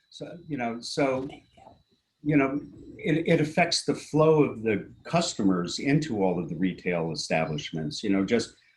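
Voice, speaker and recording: Vocal fry marks a man's speech as he goes at a fairly slow pace with an American accent and very wide pitch swings. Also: medium pitch for a man. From US Northeast, Princeton New Jersey. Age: 60s. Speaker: local resident commenting at public meeting. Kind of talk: public comment at municipal meeting. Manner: halting, many fillers.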